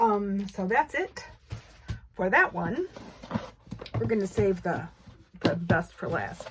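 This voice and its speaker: A woman speaks at a very slow pace with long, frequent pauses. Noticeable background noise sits behind her. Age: 60s. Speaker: quilting video creator. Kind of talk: casual unboxing chat. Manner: halting, many fillers and restarts.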